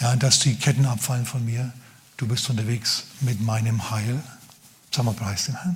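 At a moderate pace, a man speaks in a medium pitch with ordinary variation, somewhat breathy and animated, leaving long, frequent pauses. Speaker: pastor. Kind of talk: sermon. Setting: church. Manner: animated, conversational preacher; humorous, casual.

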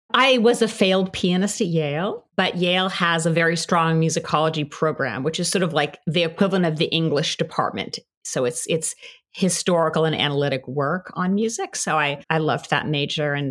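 In a very clean recording with a silent background, a woman with a fairly low pitch talks at a fairly quick pace with ordinary pitch variation. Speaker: musicology professor. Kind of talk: interview.

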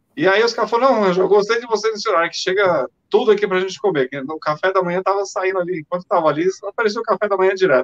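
Dry and close with no echo, a man speaks at a very fast pace in a high pitch, with hardly any pauses and ordinary pitch variation. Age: 50s. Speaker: former radio announcer. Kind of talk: casual chat.

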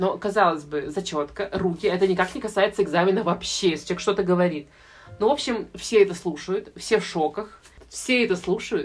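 Using a plain, everyday voice, a woman talks at a fairly quick pace and medium pitch with ordinary pitch variation. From Russia, St Petersburg. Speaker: medical student. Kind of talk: casual chat.

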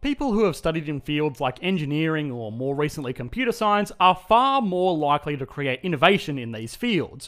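With an Australian accent, a man speaks in a fairly high pitch with lively intonation and hardly any pauses. The recording is very clean, with a silent background. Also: fairly quick pace. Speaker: video essayist on economics. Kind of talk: scripted explainer narration.

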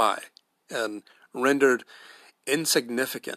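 This man, with an American accent, speaks fairly slowly at a medium pitch with fairly even intonation and a bright, sharp tone, the sound dry and close with no echo on a very clean recording with a silent background. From United States. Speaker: podcast host. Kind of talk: solo podcast commentary. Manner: halting, frequent repetitions and fillers.

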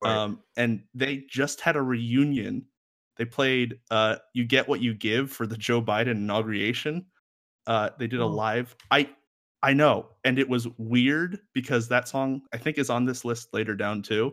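It is a plain, everyday voice with fairly even intonation. The recording is very clean, with a silent background. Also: man, medium pitch for a man, fairly slow pace. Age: 20s. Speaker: podcast host. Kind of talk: casual chat.

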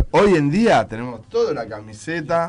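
A man with an unremarkable speaking voice, fairly high in pitch, at a moderate pace with lively intonation. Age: 40s. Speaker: band musician. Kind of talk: interview.

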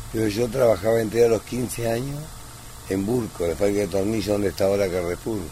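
Noticeable background noise sits behind speech at a fairly quick pace with ordinary pitch variation. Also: man, fairly low pitch for a man. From Argentina, Luján (born in Italy, moved at four). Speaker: neighbourhood shopkeeper. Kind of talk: interview.

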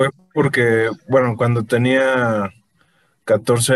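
A man talks against a quiet background. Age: 20s. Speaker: novelist and law student. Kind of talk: casual interview. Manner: halting, many fillers.

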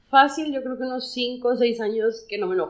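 Her pitch high, a woman talks at a moderate pace. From Monterrey, Mexico. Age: 30s. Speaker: podcast co-host. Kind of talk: casual chat.

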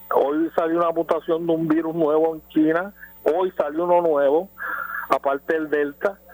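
Fairly high male voice, monotone and flat, at a moderate pace and very even loudness, with a dry, close sound with no echo and noticeable background noise. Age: 60s. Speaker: caller. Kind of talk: radio call-in.

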